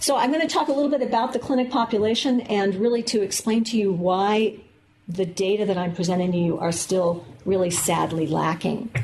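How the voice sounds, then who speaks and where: Audible room echo surrounds a woman with an American accent who speaks at a medium pitch and a fairly quick pace, her intonation lively and her loudness very even. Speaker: medical geneticist, professor. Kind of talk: lecture. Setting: lecture room with audience, filmed. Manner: fast.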